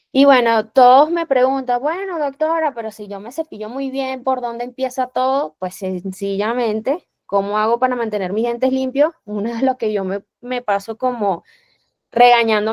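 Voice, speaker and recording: A woman with a high pitch, ordinary pitch variation and a moderate pace, in a dry, close sound with no echo. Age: young. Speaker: dentist, periodontal specialist. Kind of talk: lecture.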